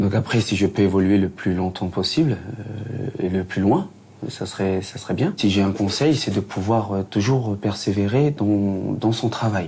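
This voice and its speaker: A man's somewhat breathy, fairly low voice with a dark, mellow tone. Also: ordinary pitch variation. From New Caledonia (Lifou, Loyalty Islands). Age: 30s. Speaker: recruitment assistant. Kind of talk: interview testimony. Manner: halting, many fillers.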